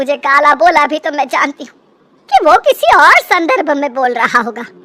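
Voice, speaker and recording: The speaker puts on a cartoonish character voice. The pace is moderate. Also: woman. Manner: scolding, dramatic.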